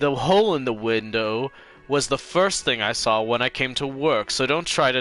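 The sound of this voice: An unforced reading voice carries the words with lively intonation.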